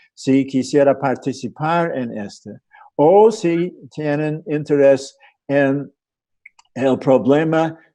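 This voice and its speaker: In an American accent, a man with a dark, mellow tone and fairly high pitch talks at a very slow pace, with ordinary pitch variation and long, frequent pauses. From USA. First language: English (speaking Spanish). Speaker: sociologist and bioethics researcher. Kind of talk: panel presentation. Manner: halting, many fillers.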